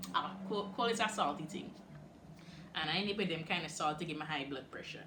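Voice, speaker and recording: Speaking at a moderate pace with a Guyanese accent, a woman uses an animated tone at medium pitch, with audible room echo. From Guyana, Bartica. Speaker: YouTuber. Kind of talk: Q and A vlog.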